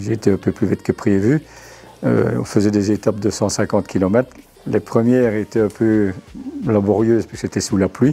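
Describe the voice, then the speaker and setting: Speaking at a fairly quick pace with long, frequent pauses, a man with a fairly low voice keeps his intonation fairly even over noticeable background noise. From Belgium, Huy area (Wallonia). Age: 60s. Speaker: amateur cyclist, customer. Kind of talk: interview. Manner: hesitant, many fillers.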